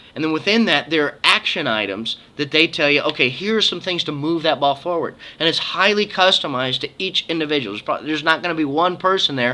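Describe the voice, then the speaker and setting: A man's fairly high, bright, sharp voice, animated in tone with lively intonation at a very fast pace. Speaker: mortgage loan officer giving conference recap. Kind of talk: casual video update.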